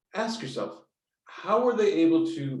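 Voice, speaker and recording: A somewhat breathy man with an American accent talks at a moderate pace. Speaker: strategy consultant. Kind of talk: online meetup talk. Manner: halting, many fillers.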